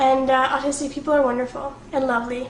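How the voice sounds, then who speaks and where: Noticeable background noise and audible room echo both come through in this clip. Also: woman. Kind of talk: vlog to camera. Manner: fast; casual, filler words.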